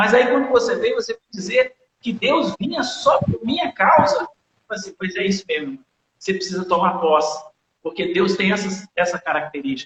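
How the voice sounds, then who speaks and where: Speaking at a moderate pace, a man uses a high voice with lively intonation. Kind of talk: testimony. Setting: online live broadcast.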